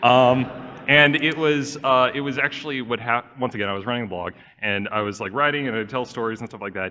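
Over noticeable background noise, a man talks at a very fast pace. He has an American accent. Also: medium pitch for a man, ordinary pitch variation. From Southern California. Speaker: YouTube animator and game master. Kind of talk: convention panel talk. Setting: stage with audience.

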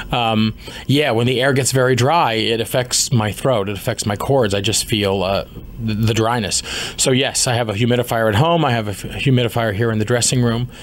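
A man with an American accent at medium pitch, fairly quick and fairly even in intonation, with noticeable background noise. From US, Washington D.C. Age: 30s. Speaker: musical theatre actor. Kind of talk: interview. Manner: hesitant with fillers.

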